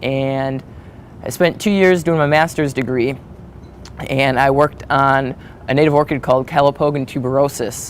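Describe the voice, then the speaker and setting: A man with an American accent, fairly high pitch, fairly even intonation, and long, frequent pauses. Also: moderate pace. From Wisconsin, US Midwest (Manitowoc). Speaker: graduate student researcher. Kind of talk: interview monologue. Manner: hesitant, with many fillers.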